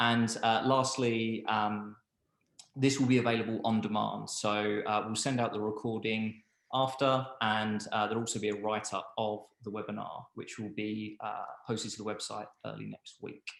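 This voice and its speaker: This man has a Cockney accent and a fairly low pitch. He speaks at a moderate pace with monotone, flat intonation. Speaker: webinar host. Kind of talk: product webinar presentation. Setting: online webinar. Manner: hesitant, many fillers.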